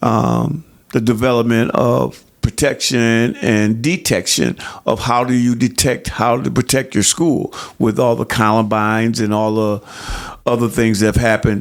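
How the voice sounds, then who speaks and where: Speaking fairly slowly with an American accent, a man uses an unremarkable speaking voice at a medium pitch with ordinary pitch variation. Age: 60s. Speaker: counselor and youth coach. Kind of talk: podcast interview.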